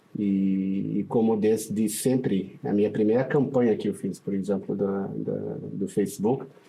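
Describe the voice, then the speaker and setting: Fairly low in pitch, a man talks very slowly with fairly even intonation. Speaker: paid traffic specialist. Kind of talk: podcast interview.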